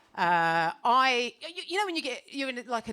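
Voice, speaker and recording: With very wide pitch swings, a woman speaks in an animated tone. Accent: British. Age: 40s. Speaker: stand-up comedian. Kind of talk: stand-up. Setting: stage with audience.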